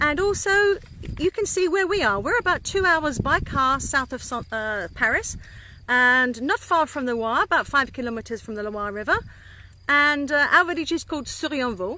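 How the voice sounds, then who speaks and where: With a relaxed tone, a woman speaks at a moderate pace in a high pitch with very wide pitch swings. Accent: English. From England. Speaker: winery co-owner. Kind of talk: casual vineyard tour. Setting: outdoors. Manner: relaxed, conversational with fillers.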